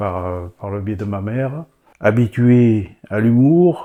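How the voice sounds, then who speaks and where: Here is a man with a dark, mellow tone. His pitch variation is ordinary. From France, Gironde (Bordeaux area). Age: 70s. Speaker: church member. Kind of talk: testimony. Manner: animated; halting.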